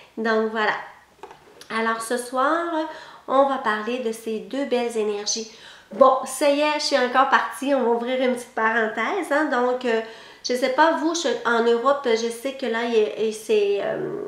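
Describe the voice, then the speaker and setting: With a slight Québécois accent, a woman talks fairly slowly in a high voice with ordinary pitch variation, amid audible room echo and noticeable background noise. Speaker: psychic lecturer. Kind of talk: online lecture.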